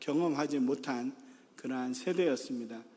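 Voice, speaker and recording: A man with lively intonation, in a space with audible room echo. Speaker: pastor. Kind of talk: sermon. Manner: many filler sounds, halting.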